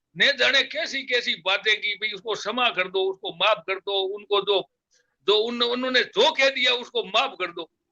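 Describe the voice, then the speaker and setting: A raised, projected voice with a bright, sharp tone and ordinary pitch variation comes through a dry, close recording with no echo. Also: man, high pitch for a man. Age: 70s. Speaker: community elder, guest. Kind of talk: interview, reflective talk. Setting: live online program. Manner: halting, many fillers.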